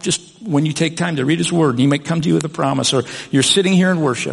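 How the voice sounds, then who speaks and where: Noticeable background noise sits under a man talking at a very fast pace. His pitch is fairly high, with ordinary variation. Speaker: pastor. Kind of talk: sermon.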